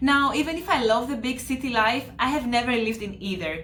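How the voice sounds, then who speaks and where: Talking at a fairly quick pace with a Greek accent, a woman uses a high pitch with ordinary variation, amid noticeable background noise and audible room echo. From Greece, Kavala. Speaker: flight attendant. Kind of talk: travel presentation.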